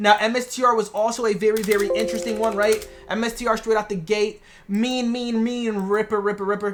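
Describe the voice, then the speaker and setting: A woman speaks at a fairly quick pace. Her medium pitch follows a fairly even intonation. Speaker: day trader recapping trades. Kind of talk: market recap video. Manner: fast; casual, slangy.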